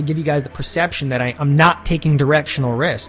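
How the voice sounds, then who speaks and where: The man's fairly high pitch and fairly even intonation come through noticeable background noise. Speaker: options trading educator. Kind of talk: webinar tutorial. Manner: fast.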